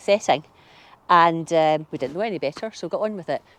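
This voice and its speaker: A woman speaks with a Glasgow accent at a fairly low pitch. Her pitch variation is ordinary. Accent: Glasgow Scottish. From Scotland, Glasgow (Maryhill). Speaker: gardening vlogger. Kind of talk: casual chat. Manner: hesitant, many fillers.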